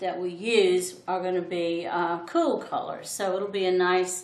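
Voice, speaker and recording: With audible room echo around her, a woman speaks at a medium pitch with fairly even intonation. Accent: Southern US. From US South. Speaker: art teacher. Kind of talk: tutorial. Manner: thoughtful, hesitant with fillers.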